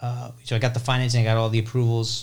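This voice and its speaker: Somewhat breathy and at a very fast pace, a man with an American accent talks at a medium pitch. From New Jersey suburbs. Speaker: real estate investor, landlord. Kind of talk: interview, casual chat.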